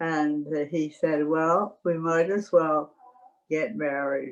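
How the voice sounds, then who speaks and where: A woman with a Canadian accent speaks at a very slow pace in a very deep, low pitch. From Canada, Calgary. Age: 90s. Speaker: retired missionary. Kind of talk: life story interview. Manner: halting.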